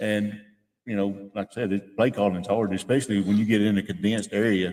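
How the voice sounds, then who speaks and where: Speaking fairly quickly in a monotone, flat intonation, a man with a Tennessee accent has a fairly low pitch. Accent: Southern US (Tennessee). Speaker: radio sports commentator. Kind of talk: casual chat. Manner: loud.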